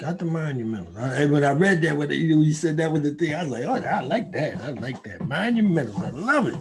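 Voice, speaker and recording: With audible room echo and noticeable background noise, a man talks at a very fast pace and fairly high pitch, with lively intonation. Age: 70s. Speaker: recovering addict and gun violence researcher. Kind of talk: casual chat.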